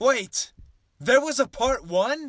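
A man is doing a put-on character voice. He pitches it extremely high. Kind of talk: comedy sketch acting. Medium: comedy sketch. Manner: smug. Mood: confused.

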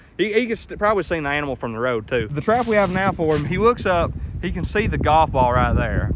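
A man speaks at a very fast pace, the sound dry with no echo and noticeable background noise behind him. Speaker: trapper vlogger. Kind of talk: casual vlog chat. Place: forest. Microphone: phone near.

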